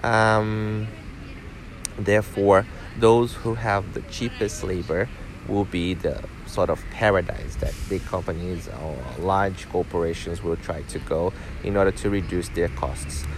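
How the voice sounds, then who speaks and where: Music plays in the background as a man speaks with a Portuguese accent at a fairly slow pace. His pitch is fairly low, with ordinary pitch variation. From Brazil. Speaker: teacher. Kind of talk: interview. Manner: hesitant, many filler sounds.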